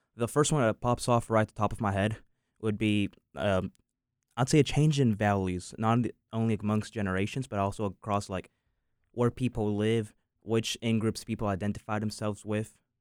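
A man with an American accent and an unremarkable speaking voice, fairly low in pitch, at a moderate pace with fairly even intonation, in a dry, close recording with no echo, very clean with a silent background. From US South. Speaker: university student. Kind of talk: casual discussion.

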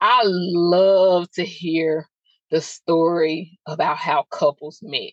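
In dry, close sound with no echo, a woman speaks very slowly at a fairly low pitch. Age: 30s. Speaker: podcast host. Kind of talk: solo podcast monologue. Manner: animated.

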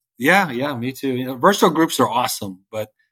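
A man with an American accent talks fairly quickly at medium pitch in an ordinary speaking voice, on a very clean recording with a silent background. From Northern Virginia, US. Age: 40s. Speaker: realtor and community group founder. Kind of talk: interview conversation.

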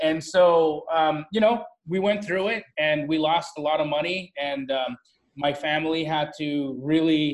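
Fairly even intonation in a normal speaking voice. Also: man. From Calgary, Alberta, Canada. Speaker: real estate wholesaler. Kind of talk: interview.

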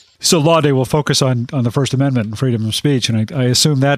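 Recorded very cleanly against a silent background, the sound dry and close with no echo, a man talks in a normal speaking voice at medium pitch with ordinary pitch variation. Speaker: legal podcast host. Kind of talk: interview.

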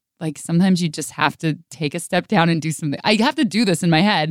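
A woman with an unremarkable speaking voice in an American accent, fairly low in pitch with ordinary pitch variation, in a very clean recording with a silent background and a dry, close sound with no echo. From Northern California. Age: 30s. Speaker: radio host and podcaster. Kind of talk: casual interview chat. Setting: radio studio.

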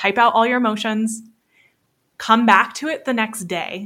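On a very clean recording with a silent background, a woman with an American accent talks at a moderate pace in a bright, sharp tone. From US South, Florida Panhandle. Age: 30s. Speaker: business coach, former wedding photographer. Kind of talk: casual interview chat.

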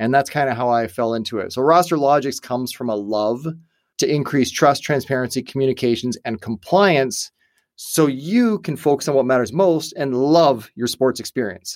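In a very clean recording with a silent background, a man with a plain, everyday voice speaks at a medium pitch and moderate pace, his intonation lively. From Canada. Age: 40s. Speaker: entrepreneur and company founder. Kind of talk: interview conversation. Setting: studio.

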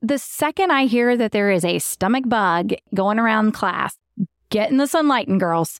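In a Southern US accent, a woman with a fairly high pitch speaks at a moderate pace in an animated tone, the sound dry and close with no echo in a very clean recording with a silent background. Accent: US South. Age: 30s. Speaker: podcast co-host. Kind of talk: casual chat; sponsor read.

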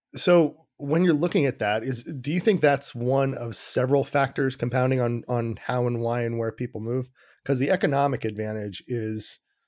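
A man with a plain, everyday voice, medium pitch and ordinary pitch variation, at a moderate pace. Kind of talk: interview.

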